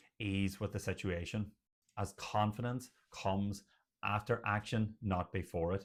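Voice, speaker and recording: In a very clean recording with a silent background, a man with an Irish accent speaks at a fairly slow pace and a fairly low pitch, in a monotone, flat intonation. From Ireland. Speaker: general practitioner doctor. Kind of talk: educational talk to camera.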